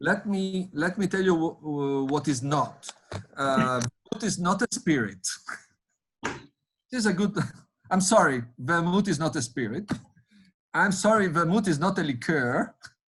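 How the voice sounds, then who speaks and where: Delivered in an Italian accent, the speech has lively intonation and long, frequent pauses. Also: man, high pitch for a man, moderate pace. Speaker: winemaker. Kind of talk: virtual tasting panel chat. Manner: halting, many fillers.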